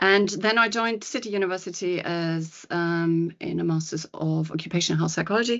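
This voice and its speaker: In a German accent, a woman speaks at a fairly quick pace with a fairly low pitch and ordinary pitch variation. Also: hardly any pauses. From Germany. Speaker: psychologist and coach. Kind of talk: podcast interview. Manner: hesitant, many fillers.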